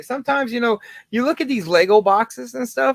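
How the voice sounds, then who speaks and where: A man's very fast speech with lively intonation, dry and close with no echo. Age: 30s. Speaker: Lego livestreamer. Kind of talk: casual livestream chat.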